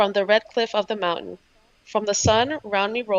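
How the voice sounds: The speaker uses a natural reading voice, and the intonation stays fairly even.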